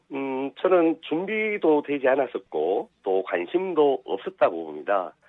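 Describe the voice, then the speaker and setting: Very slowly, a man talks at a fairly high pitch. His pitch swings very widely. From Daegu, South Korea. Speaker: political party spokesman. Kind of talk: radio interview answer. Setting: phone line.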